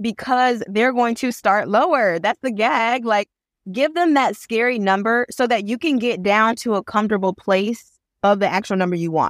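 An unremarkable speaking voice of a woman with an American accent, fairly high in pitch with ordinary variation, at a moderate pace, dry and close with no echo on a very clean recording with a silent background. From Michigan, Flint. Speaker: attorney and content creator. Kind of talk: podcast interview.

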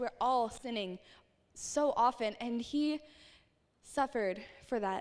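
With ordinary pitch variation, a woman speaks in a high voice. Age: 20s. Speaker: youth ministry volunteer speaker. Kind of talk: youth sermon. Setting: live church youth service with audience. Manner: animated.

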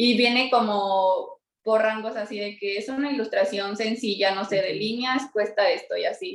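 A woman with a plain, everyday voice speaks at a fairly high pitch and a fairly slow pace, with ordinary pitch variation. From Mexico City. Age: 20s. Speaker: illustrator and entrepreneur. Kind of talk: interview.

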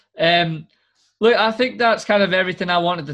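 With a Scottish accent, a man talks at a fairly quick pace and ordinary pitch variation against a quiet background. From Scotland. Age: 20s. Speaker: podcast host. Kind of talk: casual chat.

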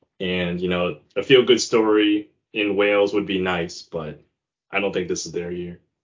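An ordinary speaking voice from a man, fairly low-pitched, at a moderate pace with fairly even intonation. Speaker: podcast co-host. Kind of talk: casual chat about soccer previews.

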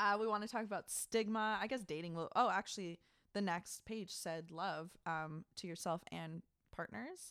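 An ordinary speaking voice from a woman at a medium pitch and moderate pace, with ordinary pitch variation, in a very clean recording with a silent background. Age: young. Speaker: podcast co-host. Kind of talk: casual chat. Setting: public library room.

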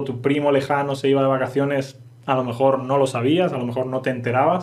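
In a room with audible echo, a man speaks at a fairly quick pace with monotone, flat intonation. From Spain. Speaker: Spanish teacher. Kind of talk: language lesson podcast.

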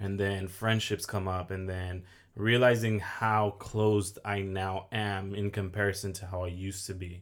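At a moderate pace, a man with an American accent speaks in a fairly low pitch with monotone, flat intonation. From Oxnard, California. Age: 20s. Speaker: mortgage lender and content creator. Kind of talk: casual interview chat. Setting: studio, sitting across host.

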